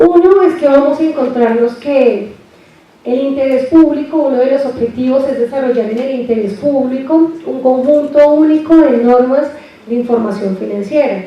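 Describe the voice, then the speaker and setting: A woman speaks at a high pitch. Her voice carries audible room echo over noticeable background noise. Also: ordinary pitch variation, moderate pace. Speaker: university lecturer. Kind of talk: lecture. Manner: soft-spoken.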